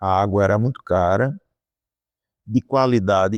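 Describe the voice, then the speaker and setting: Against a quiet background, a man is speaking. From Brazil, Rio Grande do Norte (Areia Branca). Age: 60s. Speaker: economics professor. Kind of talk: interview. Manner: halting, with frequent repetitions.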